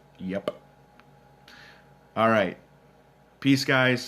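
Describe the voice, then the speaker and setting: This man talks with a Minnesotan accent. His pitch varies in an ordinary way. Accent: Minnesota. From Minnesota, US Upper Midwest. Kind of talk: live Q&A stream reading chat. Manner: casual, many filler words.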